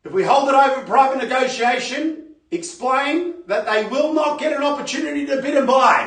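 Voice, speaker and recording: A man speaks at a moderate pace in a raised, projected voice with an extremely high pitch. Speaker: real estate auctioneer. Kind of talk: live property auction bidding call.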